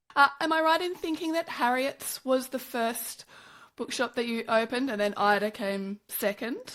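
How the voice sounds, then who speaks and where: With an Australian accent, a woman speaks at a moderate pace in a high voice with lively intonation, recorded very cleanly against a silent background. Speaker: podcast host. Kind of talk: interview.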